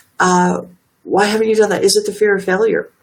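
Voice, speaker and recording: A soft-spoken woman. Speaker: motivational livestream host. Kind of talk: motivational talk. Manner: hesitant, many fillers.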